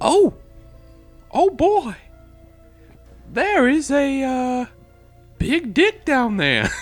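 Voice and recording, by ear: A high-pitched, put-on character voice goes very slowly, with long, frequent pauses. Faint music plays in the background.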